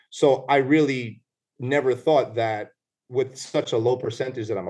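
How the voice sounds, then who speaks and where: Somewhat breathy, a man talks at a medium pitch. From New York City (Bronx), Puerto Rican family. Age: 30s. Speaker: lawyer and former police officer. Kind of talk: casual interview.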